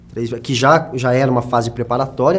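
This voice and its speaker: Here a man speaks at a fairly quick pace. His voice is somewhat breathy. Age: 20s. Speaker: journalist and actor. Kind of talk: documentary interview. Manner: halting.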